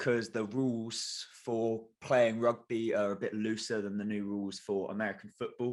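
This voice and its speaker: A man with a southern English accent speaks at medium pitch and a moderate pace. His intonation stays fairly even, with hardly any pauses. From England, Kent. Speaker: sports podcast co-host. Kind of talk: casual chat.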